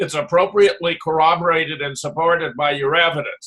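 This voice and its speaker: At a moderate pace, a man speaks in a fairly high pitch with an ordinary speaking voice. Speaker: researcher and panelist. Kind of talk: critique in panel discussion.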